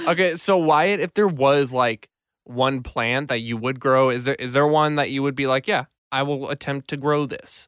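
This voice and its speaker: In a very clean recording with a silent background and a dry, close sound with no echo, a man with a plain, everyday voice speaks at a moderate pace, using a fairly high pitch and ordinary pitch variation. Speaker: podcast host. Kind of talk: casual chat. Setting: studio.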